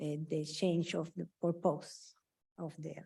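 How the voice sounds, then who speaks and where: Speaking in a dark, mellow tone, the woman has a non-native accent. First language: not English. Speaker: resident speaking at public comment. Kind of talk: public comment at city meeting. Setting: city commission meeting chamber. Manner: halting.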